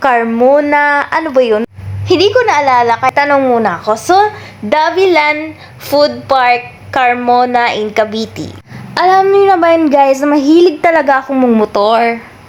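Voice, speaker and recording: With lively intonation and a high pitch, a woman speaks at a fairly slow pace over noticeable background noise. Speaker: vlogger. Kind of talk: travel vlog narration. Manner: casual, chatty.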